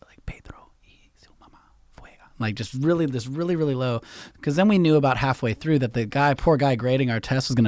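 Speaking at a very fast pace, a man has a Californian accent and a fairly high pitch. The recording is very clean, with a silent background. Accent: general American, Californian. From San Francisco Bay Area. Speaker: podcast host. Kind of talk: casual interview chat. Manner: casual, profane, rambling.

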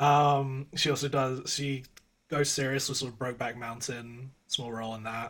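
With an English accent, a man at medium pitch speaks at a moderate pace in a flat monotone, his loudness swinging widely. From England. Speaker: podcast co-host. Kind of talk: casual chat. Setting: video call.

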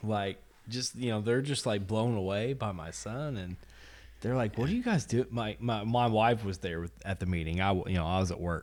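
Ordinary pitch variation shapes a man's fairly low-pitched delivery in an ordinary speaking voice. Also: moderate pace. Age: 30s. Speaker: podcast host and pro wrestler. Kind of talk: casual chat.

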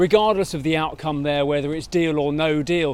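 This man speaks with a British accent at a fairly high pitch. His intonation stays fairly even. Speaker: market news presenter. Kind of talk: market briefing monologue. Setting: outdoors on foot. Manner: casual with filler hesitations.

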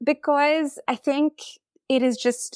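A woman with a Tamil accent in a very clean recording with a silent background and a dry, close sound with no echo. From South India. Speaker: fanfiction writer. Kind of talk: casual interview.

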